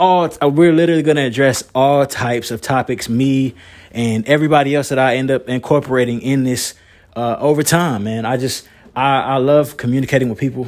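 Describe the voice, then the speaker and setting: A man with a Southern US accent, medium-pitched, at a fairly quick pace. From North Carolina, Moore County. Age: 20s. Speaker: podcaster and singer. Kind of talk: solo podcast monologue. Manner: energetic.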